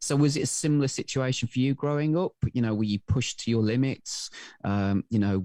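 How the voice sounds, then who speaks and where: Speaking with a Welsh accent at a fairly quick pace, a man has a dark, mellow tone and ordinary pitch variation, in a dry, close sound with no echo and a quiet background. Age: 40s. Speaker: podcast co-host. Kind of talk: interview. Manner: halting, many fillers.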